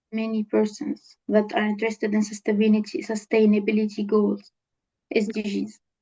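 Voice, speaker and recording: This woman speaks in a Tunisian accent at a moderate pace. Her pitch is fairly high and her intonation fairly even. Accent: Tunisian accent in English, pretty good. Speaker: data scientist and entrepreneur. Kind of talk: interview. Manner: halting, many fillers.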